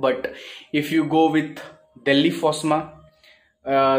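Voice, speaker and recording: With faint music in the background, a man's intonation stays fairly even. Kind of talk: casual vlog chat. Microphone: phone near.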